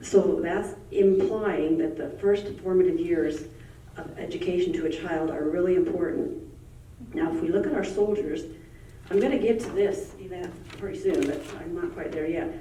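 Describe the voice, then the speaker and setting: A woman amid noticeable background noise and audible room echo. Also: moderate pace. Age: 70s. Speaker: public commenter. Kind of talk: public comment.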